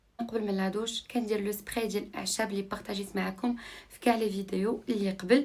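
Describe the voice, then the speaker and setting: A woman at medium pitch talks very fast, keeping her intonation fairly even. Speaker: lifestyle vlogger. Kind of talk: vlog narration. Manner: casual, code-switching with French.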